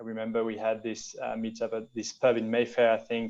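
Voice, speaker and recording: With a French accent, a man speaks at a medium pitch. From France. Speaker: venture capital investor. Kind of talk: interview. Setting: video call. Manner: halting with repetitions.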